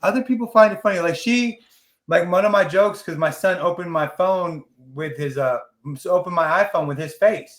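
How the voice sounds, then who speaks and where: Speaking at a fairly quick pace, a man with a high voice shows ordinary pitch variation. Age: 40s. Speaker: podcast host. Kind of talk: casual chat.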